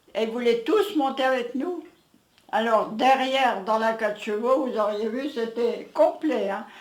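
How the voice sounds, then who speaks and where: Room echo is audible as a woman speaks in a high voice at a fairly slow pace. Her pitch varies in an ordinary way. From France, Aisne (Picardy), village near Reims. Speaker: elderly villager, interviewee. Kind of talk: casual reminiscing interview.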